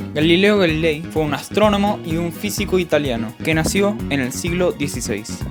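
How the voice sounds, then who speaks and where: Music in the background under a man's fairly high voice, with very wide pitch swings and a fairly quick pace. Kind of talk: educational science explainer narration.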